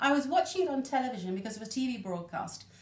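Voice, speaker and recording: With lively intonation, a woman talks over noticeable background noise and audible room echo. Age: 60s. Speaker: Elvis fan and enthusiast. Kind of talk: casual interview chat.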